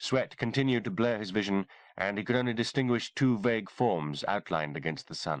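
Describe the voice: Ordinary pitch variation in plain reading aloud.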